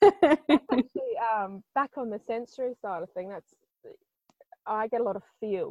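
In an Australian accent, a woman speaks at a fairly high pitch with lively intonation and big swings in loudness. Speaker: intuitive healer. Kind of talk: casual interview chat.

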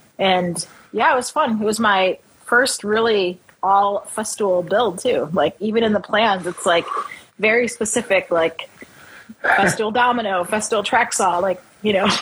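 A woman with an American accent, her pitch fairly high and ordinarily varied, at a fairly slow pace, with very even loudness and noticeable background noise. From Chicago, US Midwest. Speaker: woodworker and business owner. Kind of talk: casual interview chat.

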